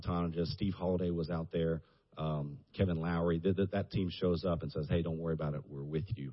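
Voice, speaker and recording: Talking at a very fast pace, a man with a Southern US accent uses a very deep, low pitch and fairly even intonation. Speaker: church minister. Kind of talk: casual chat.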